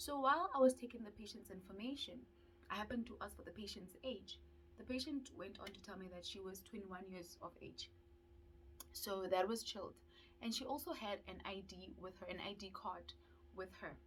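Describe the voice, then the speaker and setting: Noticeable background noise accompanies a woman's fairly quick speech. Her voice shows big swings in loudness and ordinary pitch variation. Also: medium pitch for a woman. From South Africa. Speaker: dental student YouTuber. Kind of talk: vlog storytelling.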